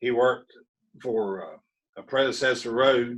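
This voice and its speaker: This man speaks in a strong Appalachian accent. His pitch is medium, with ordinary variation. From West Virginia, Appalachia. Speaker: railroad enthusiast. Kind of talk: interview. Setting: video call. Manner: lively.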